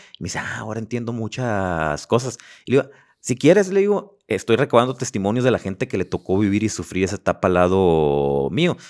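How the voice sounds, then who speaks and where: Against a quiet background, a fairly low-voiced man speaks at a fairly quick pace with lively intonation. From Mexico, Los Mochis, Sinaloa; Sinaloa, Mexico. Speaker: podcast host and life coach; podcast guest. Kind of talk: casual interview chat; interview answer. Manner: repeats words, halting. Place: studio. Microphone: studio mic.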